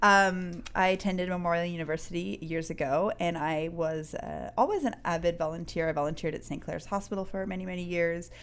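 With a Newfoundland accent, a woman talks at a fairly quick pace with hardly any pauses. Her fairly low voice holds a fairly even intonation. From Newfoundland, Canada. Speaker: activist and social entrepreneur. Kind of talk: interview conversation.

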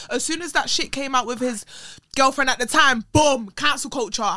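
Raising and projecting her voice, a woman speaks at a moderate pace with a bright, sharp tone, ordinary pitch variation and a high pitch. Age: 20s. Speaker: social media personality and performer. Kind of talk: casual chat. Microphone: camera mic instead of studio mic near the end.

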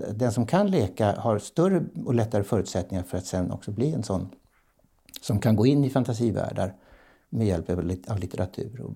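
On a very clean recording with a silent background, a man with a dark, mellow tone and a somewhat breathy voice speaks at a moderate pace. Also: fairly low pitch for a man, lively intonation. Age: 70s. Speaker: professional clown and play advocate. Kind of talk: interview conversation. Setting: bakery, home recording.

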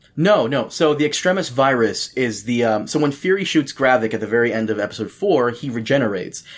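A man with a plain, everyday voice talks at a medium pitch and a fairly quick pace, with lively intonation and hardly any pauses. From Brazil. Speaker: podcast host. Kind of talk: casual chat.

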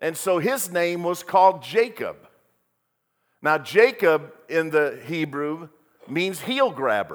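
A high-pitched man talks at a very slow pace, leaving long, frequent pauses. His intonation is lively, and the recording is very clean with a silent background. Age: 60s. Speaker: pastor. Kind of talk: sermon.

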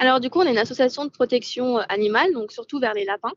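Sounding dry and close with no echo, a woman speaks at a high pitch. Her pitch variation is ordinary. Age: 20s. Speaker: animal rescue founder. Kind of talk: interview. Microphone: connection dropouts.

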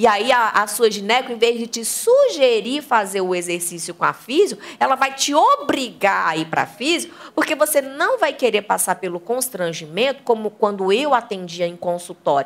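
Amid noticeable background noise, a woman talks in an animated tone at a fairly high pitch. Her voice makes very wide pitch swings at a moderate pace, with hardly any pauses. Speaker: sex educator and channel host. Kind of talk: live talk with audience.

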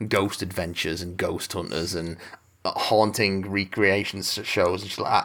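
A man speaks with an English accent. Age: 30s. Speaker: podcast co-host. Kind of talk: casual chat.

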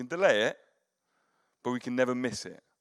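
A man with an English accent on a very clean recording with a silent background. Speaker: pastor. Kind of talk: sermon. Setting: church.

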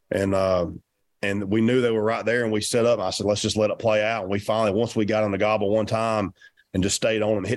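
A man with a Southern US accent talks very fast in a fairly low, monotone, flat voice. The recording is very clean, with a silent background. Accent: Southern US (Georgia). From Georgia, US South. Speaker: professional turkey hunter. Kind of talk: casual interview chat.

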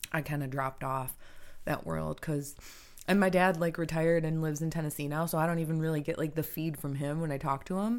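A woman speaks at a very fast pace with fairly even intonation. Her pitch is very deep and low. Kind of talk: casual chat. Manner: halting.

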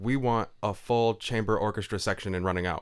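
On a very clean recording with a silent background, a man uses a normal speaking voice at a fairly low pitch, a moderate pace and ordinary pitch variation. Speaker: songwriter and producer. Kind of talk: casual chat. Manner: joking, relaxed.

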